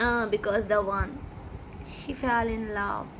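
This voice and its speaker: A woman with a Pakistani accent speaks very slowly in a fairly high, monotone voice. Her flat delivery carries audible room echo. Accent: Pakistani (Sindhi) English. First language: Sindhi. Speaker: YouTuber, amateur singer. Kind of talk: casual vlog talk. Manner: halting, many fillers.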